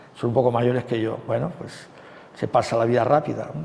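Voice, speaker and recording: A man is speaking. Room echo is audible. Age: 60s. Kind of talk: sermon. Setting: retreat talk. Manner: conversational with frequent fillers.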